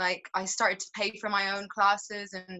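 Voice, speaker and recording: A woman with an Irish accent speaks at a medium pitch. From Ireland, Dublin (from age 8 to teens; born London). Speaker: singer-songwriter, actor and model. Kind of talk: interview.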